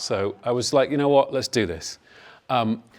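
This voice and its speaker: A man speaks at a fairly quick pace with a northern English accent and ordinary pitch variation. The recording is very clean, with a silent background. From northern England. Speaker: health industry executive. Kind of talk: panel talk.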